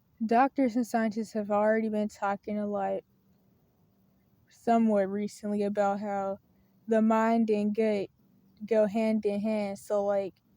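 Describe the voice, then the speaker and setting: On a very clean recording with a silent background and a dry, close sound with no echo, a woman with a dark, mellow tone and fairly high pitch speaks in monotone, flat intonation at a fairly slow pace with long, frequent pauses. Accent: Southern US. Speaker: video blogger on faith and mental health. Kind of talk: casual monologue to camera. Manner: hesitant, with fillers and self-corrections.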